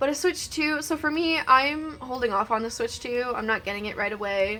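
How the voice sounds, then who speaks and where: A woman's high, raised and projected voice with a Canadian accent, music playing behind her. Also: lively intonation, moderate pace. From Canada. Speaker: gaming streamer. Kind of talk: live game stream chat. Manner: hesitant, many fillers.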